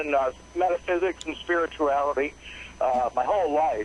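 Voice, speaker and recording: Noticeable background noise is heard. Over it, a man goes along fairly quickly, his pitch varying in an ordinary way. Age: 60s. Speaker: caller. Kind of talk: call-in conversation. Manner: halting.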